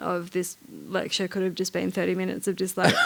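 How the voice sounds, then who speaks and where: This woman has an Australian accent. She talks at a fairly quick pace. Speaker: writer, curator and artist. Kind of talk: on-stage conversation. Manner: fast; halting, many repetitions.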